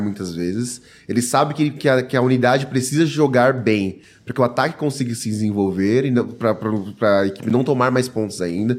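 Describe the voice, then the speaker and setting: A man talks in an unremarkable speaking voice at a fairly quick pace. His pitch varies in an ordinary way. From São Paulo, Brazil. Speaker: NFL podcast panelist. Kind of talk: sports analysis chat.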